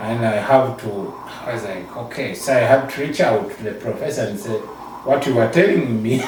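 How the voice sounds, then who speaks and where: A man talks at a medium pitch with ordinary pitch variation. Audible room echo and noticeable background noise accompany him. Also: moderate pace. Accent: Ugandan. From Uganda. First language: Ugandan local language. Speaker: social worker, NGO founder. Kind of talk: interview. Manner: halting.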